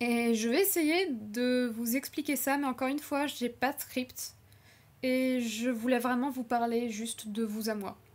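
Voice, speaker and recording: Her voice high-pitched and nervous, a woman speaks at a fairly slow pace. Her pitch varies in an ordinary way. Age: 20s. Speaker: YouTuber and animation student; channel creator. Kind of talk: unscripted personal vlog. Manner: hesitant, with filler words and nervous laughs. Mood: earnest, reflective. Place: home room. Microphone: webcam.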